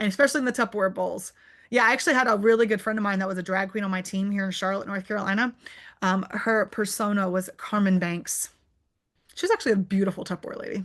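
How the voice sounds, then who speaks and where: A woman talks at a very fast pace in an animated tone, her pitch sitting at a medium level. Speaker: direct sales entrepreneur and speaker. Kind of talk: Q&A on a virtual club meeting.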